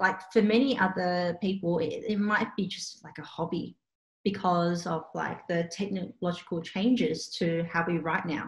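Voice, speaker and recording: A woman's medium-pitched, somewhat breathy voice in an Australian accent, at a moderate pace with fairly even intonation. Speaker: calligrapher and small business owner. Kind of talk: casual interview. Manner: casual, hesitant with fillers.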